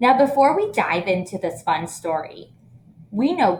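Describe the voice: Someone reads aloud plainly. Lively intonation runs through it.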